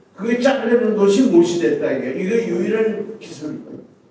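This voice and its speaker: The man's voice is high in pitch. There is audible room echo and noticeable background noise. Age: 80s+. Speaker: retired military officer and church elder. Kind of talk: speech of encouragement. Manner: hesitant, many fillers.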